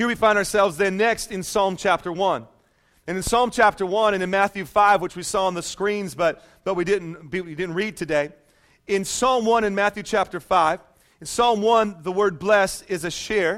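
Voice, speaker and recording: This man talks at a moderate pace in a high voice. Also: ordinary pitch variation, very clean recording, silent background. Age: 30s. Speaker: pastor. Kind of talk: sermon. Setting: church with congregation. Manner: animated.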